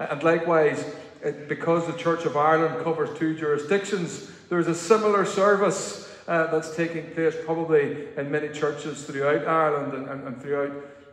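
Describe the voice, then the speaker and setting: A man talks at a fairly quick pace with fairly even intonation. Some room echo can be heard. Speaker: minister leading a service. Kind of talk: service welcome and notices. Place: church. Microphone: camera far.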